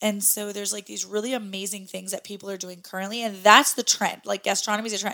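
Using an American accent, a woman speaks very fast at a medium pitch with fairly even intonation. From US Midwest. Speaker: podcast host. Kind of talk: casual chat.

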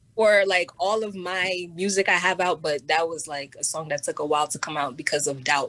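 A woman with a New York accent talks at a fairly quick pace with hardly any pauses, her bright, sharp tone set at a fairly low pitch with ordinary pitch variation. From New York City. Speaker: musician. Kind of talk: interview.

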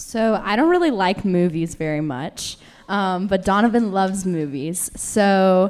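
This woman speaks with a Southern US accent. Her pitch sits in the medium range. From Tennessee. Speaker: panel guest, newlywed. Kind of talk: panel discussion. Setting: stage with audience.

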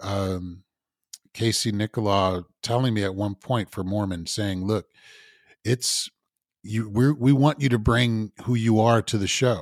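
This is a plain, everyday voice: a man with an American accent at medium pitch. He speaks at a fairly slow pace with ordinary pitch variation. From Evanston, Illinois (Chicago area). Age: 50s. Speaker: stage and screen actor. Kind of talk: casual interview.

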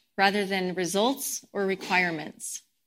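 The speaker has an American accent and a bright, sharp tone, talking at a fairly slow pace on a very clean recording with a silent background. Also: woman. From Colorado, US. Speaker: guest speaker at a spiritual community service. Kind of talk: sermon.

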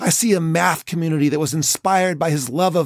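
The recording is very clean, with a silent background and a dry, close sound with no echo. A man speaks at a high pitch. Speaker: podcast host and educator. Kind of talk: eulogy, solemn tribute read from a written script. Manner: solemn, slow and heartfelt, emotionally weighted; formal, measured, reflective.

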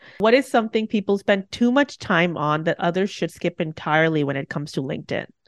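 A woman with a normal speaking voice and a fairly low pitch talks at a fairly quick pace with lively intonation, the sound dry and close with no echo over a quiet background. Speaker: podcast host. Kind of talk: interview, rapid-fire questions.

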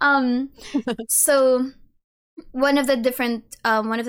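A woman with a Filipino accent speaks in an amused tone and fairly even intonation. The recording is very clean, with a silent background. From Philippines. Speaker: lore content creator and university student. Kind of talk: casual interview chat. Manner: laughs often, amused.

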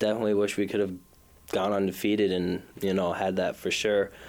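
This man has a Minnesota accent and a fairly low pitch. His intonation stays monotone and flat. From Minnesota, South Minneapolis. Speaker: college basketball player. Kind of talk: interview. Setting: studio.

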